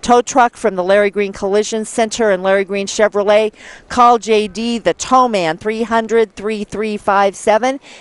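A woman's voice with ordinary pitch variation in a dry sound with no echo. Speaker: local TV event announcer. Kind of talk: sponsor announcements. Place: open country. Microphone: headset.

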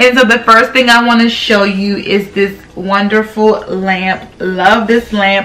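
The speaker is a woman. She keeps her intonation fairly even. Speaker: home decor vlogger. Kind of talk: casual vlog chat. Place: home room.

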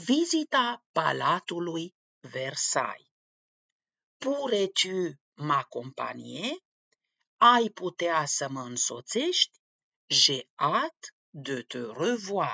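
Very slowly, a woman speaks with big swings in loudness. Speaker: language teacher. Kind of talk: tutorial. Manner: formal.

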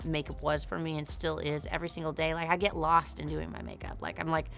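A woman speaks at a moderate pace over faint music in the background. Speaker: interviewee. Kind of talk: interview answer. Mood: emotional, then upbeat. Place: studio.

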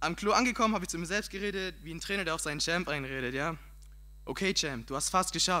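A man speaks at a very fast pace with vocal fry and an animated, bright, sharp tone. His pitch varies in an ordinary way. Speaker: slam poet. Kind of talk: poetry slam performance, comic storytelling. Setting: stage with audience. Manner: animated, punchy comic delivery; casual, colloquial, cheeky. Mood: humorous storytelling, acts out self-talk. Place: stage. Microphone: handheld.

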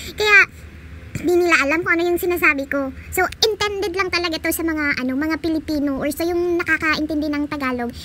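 A woman's raised, projected voice at an extremely high pitch, racing along very fast over noticeable background noise. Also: ordinary pitch variation. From Visayas, Philippines. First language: Bisaya (Cebuano) (speaking Tagalog). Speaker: gaming YouTuber. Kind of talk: casual vlog talk; gameplay commentary. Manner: chatty, laughing.

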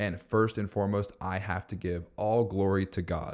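On a very clean recording with a silent background, a man with a very deep, low pitch speaks at a moderate pace in an animated tone. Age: 30s. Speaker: bookkeeping business owner and YouTube educator. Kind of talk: personal vlog monologue. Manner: casual and animated.

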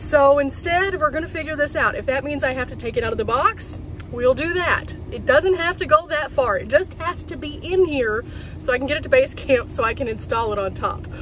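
Against light background noise, a woman talks at a fairly quick pace in a high pitch, with a dry sound and no echo. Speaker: van life vlogger. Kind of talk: casual vlog chat. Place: car. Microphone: phone near.

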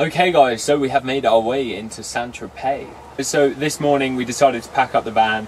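Noticeable background noise behind a male speaker with ordinary pitch movement. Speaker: travel vlogger. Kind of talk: casual vlog chat. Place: car.

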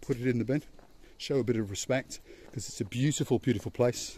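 Over light background noise, a man talks at a very fast pace in a somewhat breathy voice with a dark, mellow tone, the sound dry with no echo. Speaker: travel vlogger. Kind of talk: casual vlog chat. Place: street. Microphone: phone near.

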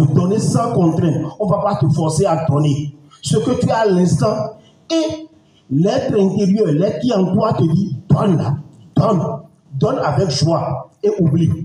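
Audible room echo around a man's fairly slow delivery. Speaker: coach speaking at event. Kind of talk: motivational speech. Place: hall.

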